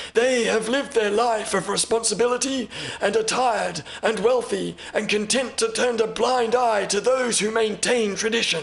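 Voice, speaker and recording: A man puts on a character voice with a high pitch, speaking at a moderate pace. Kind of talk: audiobook character reading. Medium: read story. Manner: formal, measured, courteous.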